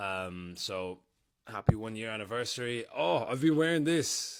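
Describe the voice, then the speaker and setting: The voice has an Irish accent, captured in a very clean recording over a silent background. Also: man. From Ireland. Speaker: content creator, reality TV alum. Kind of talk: casual vlog update. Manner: casual, filler-heavy.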